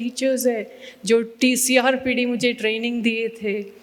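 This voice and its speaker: Through audible room echo and noticeable background noise, a woman speaks in a high pitch with monotone, flat intonation. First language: Tamil (speaking Hindi). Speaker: trust founder, mental health activist. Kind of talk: keynote address. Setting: stage with audience. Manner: halting, many fillers.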